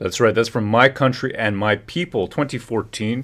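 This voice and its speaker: A man with a Canadian accent speaks at a moderate pace and medium pitch, with ordinary pitch variation. The recording is very clean, with a silent background. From Canada. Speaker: livestream commentator. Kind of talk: casual commentary. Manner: animated.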